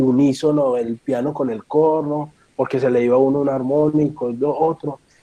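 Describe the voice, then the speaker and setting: A man's fairly high voice with a dark, mellow tone, flat and monotone, at a fairly slow pace. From Colombia, Medellín. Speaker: horn player and music teacher. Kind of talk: talk. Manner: halting.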